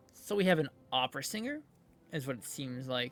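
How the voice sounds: A man's medium-pitched, fairly bright voice with lively intonation at a moderate pace, faint music in the background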